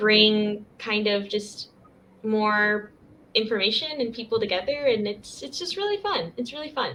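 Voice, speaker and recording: Using a fairly high pitch, a woman with an American accent speaks at a fairly slow pace with ordinary pitch variation. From US Southwest (Arizona). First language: Spanish. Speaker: university student and English coach. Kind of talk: casual interview.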